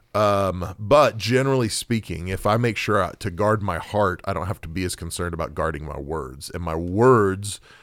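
A man with an American accent at a moderate pace, with ordinary pitch variation, on a very clean recording with a silent background. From Oklahoma. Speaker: pastor. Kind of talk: casual discussion.

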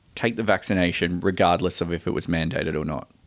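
The background is silent and the recording very clean. In it, a man talks in an Australian accent. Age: 30s. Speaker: podcast co-host. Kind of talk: casual chat.

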